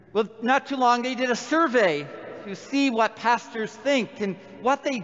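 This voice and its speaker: Noticeable background noise sits behind a man's voice. He talks at a fairly slow pace. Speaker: priest. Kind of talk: sermon.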